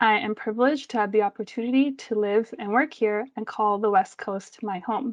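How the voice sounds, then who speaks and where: An ordinary speaking voice with a Canadian accent moves at a fairly quick pace with hardly any pauses. Its intonation stays fairly even. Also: woman, fairly high pitch for a woman. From Delta/Surrey, British Columbia, Canada. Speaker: event co-host. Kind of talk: formal land acknowledgement.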